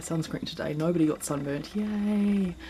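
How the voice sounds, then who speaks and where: A woman with a New Zealand accent speaks at a moderate pace, her pitch fairly low and her intonation fairly even. Noticeable background noise runs under her voice. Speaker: yoga teacher. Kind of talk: casual vlog talk to camera. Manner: hesitant, many filler words.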